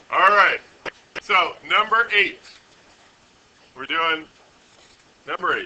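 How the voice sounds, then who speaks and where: A loud man with a high pitch speaks very slowly, his pitch swinging very widely. He leaves long, frequent pauses amid noticeable background noise. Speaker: high school physics teacher. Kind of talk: classroom lecture. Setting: classroom with students.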